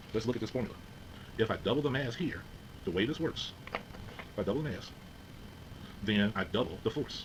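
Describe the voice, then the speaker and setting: At a fairly quick pace broken by long, frequent pauses, a man with a medium pitch speaks in a room with audible echo. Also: ordinary pitch variation. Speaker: physics teacher. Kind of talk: lecture.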